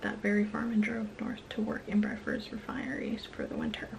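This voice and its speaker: A woman whispers at a fairly quick pace. Light background noise runs underneath. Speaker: true crime storyteller. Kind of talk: true crime narration to camera. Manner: whispered. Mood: serious, subdued. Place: home room. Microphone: phone near.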